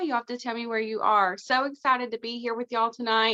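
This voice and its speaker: With a Southern US accent, a woman speaks. Her pitch is high. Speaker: cosmetics sales director, guest speaker. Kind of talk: motivational talk on team call.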